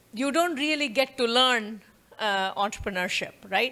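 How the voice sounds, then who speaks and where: On a very clean recording with a silent background, a woman with an Indian accent uses a raised, projected voice, high in pitch with very wide pitch swings and a bright, sharp tone. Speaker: professor. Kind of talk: lecture.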